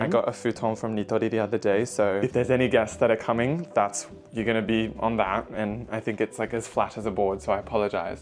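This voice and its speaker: Music behind a man's fairly quick delivery. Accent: Australian. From Australia. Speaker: vlogger. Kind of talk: vlog apartment tour. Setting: indoors at home apartment. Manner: quiet to avoid disturbing neighbours; casual, filler-heavy.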